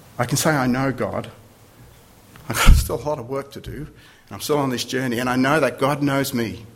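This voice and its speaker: Medium-pitched male speech, fairly quick with long, frequent pauses, fairly even intonation and big swings in loudness, in audible room echo with noticeable background noise. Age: 50s. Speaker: visiting preacher. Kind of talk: sermon.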